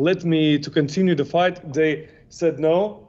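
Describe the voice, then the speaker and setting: This man has a non-native accent and a fairly high voice. He talks at a fairly slow pace with fairly even intonation. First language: not English. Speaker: kickboxer. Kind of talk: interview. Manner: halting.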